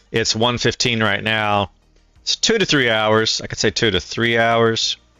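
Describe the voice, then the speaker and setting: With music in the background, the speech moves at a fairly slow pace with fairly even intonation. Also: man, medium pitch for a man. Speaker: streamer. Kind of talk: casual livestream tutorial talk. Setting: livestream with headset.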